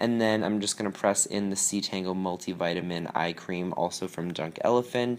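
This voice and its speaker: The recording is very clean, with a silent background. A man speaks at fairly low pitch with ordinary pitch variation. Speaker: beauty vlogger. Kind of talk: tutorial voiceover. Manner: fast; casual, filler-heavy.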